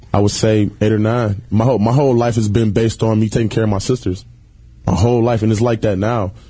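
A man's fairly low, monotone voice at a very fast pace, with very even loudness, flat intonation and noticeable background noise. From Detroit, Michigan (west side). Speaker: reality TV personality. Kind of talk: casual chat. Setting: studio.

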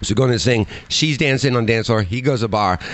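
An American accent at a fairly quick pace, ordinary pitch variation, and noticeable background noise. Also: man. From Chicago area, US. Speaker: podcast guest and sports fan. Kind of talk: casual banter, joking chat. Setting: livestream with video.

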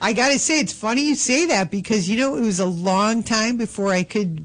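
A woman talks at a moderate pace with lively intonation and a fairly high pitch. Background noise is noticeable. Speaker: film actress and comedian. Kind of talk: casual interview chat. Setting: studio.

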